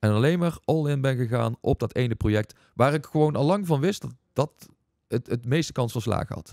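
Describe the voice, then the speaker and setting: A man at a moderate pace with lively intonation, the sound dry with no echo against a quiet background. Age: 40s. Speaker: entrepreneur and investment coach; investment coach. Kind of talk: casual interview. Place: studio. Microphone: studio mic.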